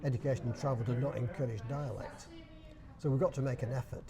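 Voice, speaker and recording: In a Yorkshire accent, a man talks at a very fast pace with a medium pitch. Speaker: dialect society chairman. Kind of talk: interview answer.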